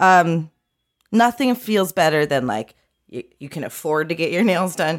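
In an ordinary speaking voice, a woman with a fairly low pitch talks at a fairly slow pace, her intonation lively and her loudness swinging widely. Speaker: podcaster and comedian. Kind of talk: casual comedy chat. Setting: remote call from her office.

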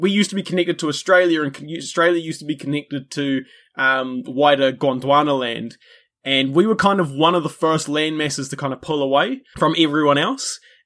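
A man with a New Zealand accent speaks at a fairly quick pace and fairly high pitch with ordinary pitch variation, on a very clean recording with a silent background. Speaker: history podcaster and wildlife conservation worker. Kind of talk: casual chat.

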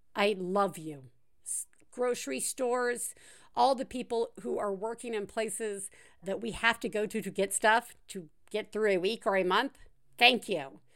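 A woman speaks at a medium pitch and a fairly slow pace with lively intonation, on a very clean recording with a silent background. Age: 40s. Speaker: parenting podcast host. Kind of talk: casual chat.

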